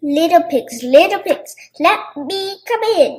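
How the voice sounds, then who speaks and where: A woman's put-on character voice, extremely high-pitched and growling, at a fairly slow pace. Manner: growling, menacing.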